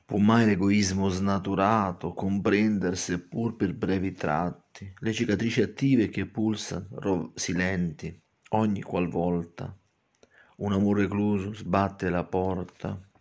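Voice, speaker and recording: A man speaks at a very slow pace in a dramatic tone with fairly even intonation. The background is quiet. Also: fairly low pitch for a man. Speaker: poet and channel host. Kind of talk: poetry reading, slow and theatrical, with spoken commentary. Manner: dramatic, ornate, lingering on florid words; emphatic, repetitive, fond of explaining his own verses. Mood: emotional, wistful. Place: home room. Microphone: phone near.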